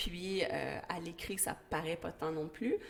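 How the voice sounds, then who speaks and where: Behind the speech there is noticeable background noise. The speaker is a woman. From Quebec, West Island of Montreal (Pointe-Claire). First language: English (speaking French). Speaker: school educator. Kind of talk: interview.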